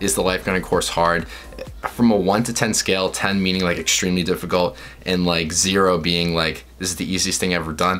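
Faint music plays in the background as the speech moves at a fairly quick pace with fairly even intonation. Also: man, very deep, low pitch for a man. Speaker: vlogger. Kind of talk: casual vlog chat giving tips. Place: home room.

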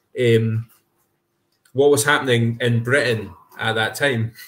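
With a Scottish accent, a man speaks at a fairly slow pace. His intonation stays monotone and flat. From Scotland. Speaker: podcast co-host. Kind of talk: casual chat. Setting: video call. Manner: halting.

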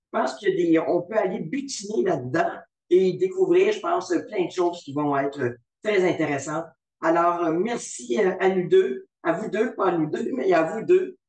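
Against a quiet background with audible room echo, a man talks at a fairly slow pace in a high voice. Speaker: webinar moderator. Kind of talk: formal webinar moderation. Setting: video call webinar. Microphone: video call.

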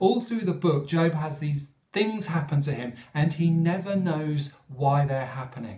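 Over a quiet background with audible room echo, a man speaks at a fairly slow pace in a dark, mellow, somewhat breathy tone. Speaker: speaker. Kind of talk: sermon-style reflection. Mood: calm, earnest. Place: home room. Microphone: phone near.

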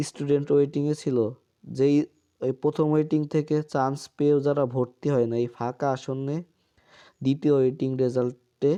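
Against a quiet background, a man with a fairly high pitch speaks in a dark, mellow tone with monotone, flat intonation. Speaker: YouTuber giving admission updates. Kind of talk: informational vlog.

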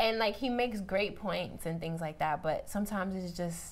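Speaking with a New York accent, a woman delivers her words in an animated tone at a moderate pace, her medium pitch showing ordinary variation. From Benin, raised in Harlem, New York. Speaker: podcast guest. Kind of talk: casual panel chat. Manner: casual, animated, lots of "like". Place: studio.

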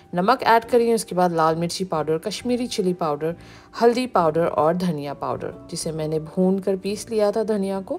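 Music plays in the background as a woman speaks fairly slowly with lively intonation. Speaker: home cooking channel host. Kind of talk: tutorial.

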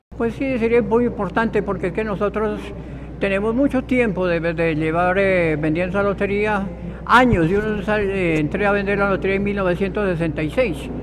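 High-pitched for a man, this speaker moves at a fairly slow pace with ordinary pitch variation. Noticeable background noise is present. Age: 70s. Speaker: lottery ticket seller. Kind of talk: news interview soundbite. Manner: halting. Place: hall.

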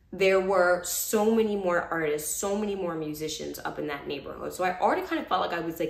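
Very fast speech with hardly any pauses and an animated tone, in a New York accent. Pitch varies in an ordinary way, and the room echo is audible. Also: woman. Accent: New York American. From Brooklyn, New York. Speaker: vlogger, former lawyer. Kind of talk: casual chat. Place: home room. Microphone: phone near.

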